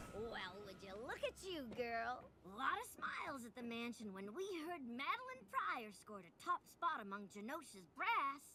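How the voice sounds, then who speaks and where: Through clear background noise, a female-sounding cartoonish character voice speaks high at a moderate pace. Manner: sassy, folksy.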